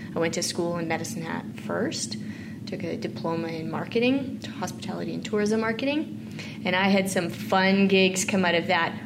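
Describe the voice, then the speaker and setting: Woman's fairly low voice with very wide pitch swings at a moderate pace, plus audible room echo and noticeable background noise. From Saskatchewan, Canada. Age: 40s. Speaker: farm advocacy organization leader. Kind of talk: interview conversation.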